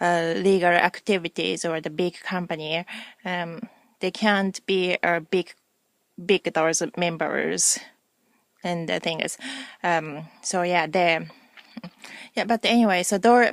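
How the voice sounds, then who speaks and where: In a Japanese accent, a woman speaks at a very slow pace with long, frequent pauses and fairly even intonation, recorded with a dry, close sound and no echo. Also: fairly low pitch for a woman. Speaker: video blogger. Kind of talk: casual vlog monologue. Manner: halting, many fillers.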